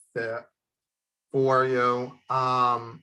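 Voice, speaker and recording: Very slowly, a man speaks in a bright, sharp tone. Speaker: talent agency host livestreaming. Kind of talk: casual livestream talk. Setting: live stream. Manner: halting, many fillers.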